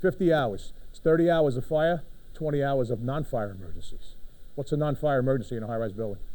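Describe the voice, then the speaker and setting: A man in a room with audible echo talks very fast in a Brooklyn accent, his fairly high voice dark and mellow in tone, with lively intonation. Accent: New York (Brooklyn). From New York City, Brooklyn. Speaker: fire department official. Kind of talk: conference presentation. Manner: animated, conversational.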